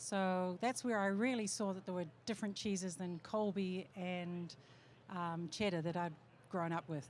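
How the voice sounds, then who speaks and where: This woman talks fairly slowly, her mid-range pitch paired with fairly level intonation. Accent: slight New Zealand. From New Zealand. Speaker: cheese maker. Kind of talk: panel talk.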